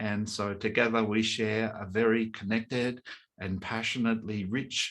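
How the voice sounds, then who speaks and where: A man with an Australian accent talks at a fairly slow pace. His pitch is medium. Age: 60s. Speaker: breathwork coach and workshop leader. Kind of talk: online workshop presentation. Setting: webinar.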